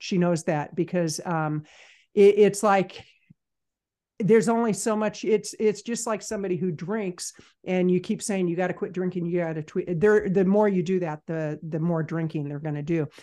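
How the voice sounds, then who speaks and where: Against a quiet background, a woman talks at a moderate pace in a medium-pitched voice. Her tone is dark and mellow, and her pitch varies in an ordinary way. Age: 60s. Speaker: business consultant and podcaster. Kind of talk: casual interview chat.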